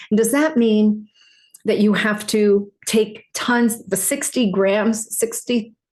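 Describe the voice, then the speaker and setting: A woman at a very slow pace, with fairly even intonation and very even loudness. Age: 60s. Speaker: herbalist, health educator. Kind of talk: casual educational talk. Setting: at a desk with a computer. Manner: halting, many fillers and restarts.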